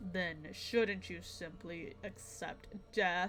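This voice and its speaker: In a put-on character voice, a female-sounding speaker at middle pitch talks very slowly over clear background noise. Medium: game stream. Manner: measured, disdainful.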